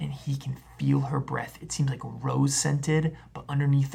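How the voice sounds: Here the reading voice is natural.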